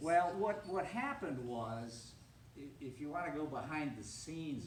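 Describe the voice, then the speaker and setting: A man talking fairly slowly with lively intonation, amid audible room echo and noticeable background noise. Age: 70s. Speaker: retiree, descendant of town founder. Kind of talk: talk with audience Q&A. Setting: public reception with audience.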